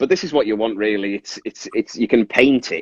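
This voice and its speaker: A man's fairly low voice at a very fast pace, with ordinary pitch variation and a dry, close sound with no echo. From northern England, Carlisle, Cumbria. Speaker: resin figure artist. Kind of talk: casual interview with demonstration.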